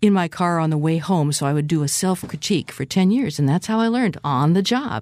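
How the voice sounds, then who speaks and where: In a very clean recording with a silent background, a woman with a Pacific Northwest accent speaks at a fairly low pitch with lively intonation. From US Pacific Northwest (West Seattle, Washington). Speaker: concert pianist and classical radio host. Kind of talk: casual interview chat. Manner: enthusiastic, animated.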